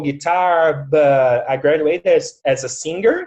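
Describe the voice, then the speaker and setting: Someone with a Portuguese accent speaks at a fairly slow pace. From Brazil. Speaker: facilitator and music teacher. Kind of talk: casual interview on video call. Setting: video call.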